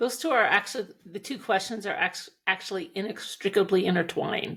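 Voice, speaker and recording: With an American accent, a woman in an ordinary speaking voice talks at a fairly quick pace, her medium pitch showing ordinary variation. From Montana, US. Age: 60s. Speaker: equine coach, former rancher and attorney. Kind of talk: interview.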